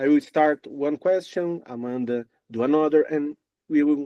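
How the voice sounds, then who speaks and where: A man's fairly high voice with a Brazilian accent, recorded with a dry, close sound and no echo. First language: Portuguese. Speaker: music interviewer. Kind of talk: interview. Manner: halting.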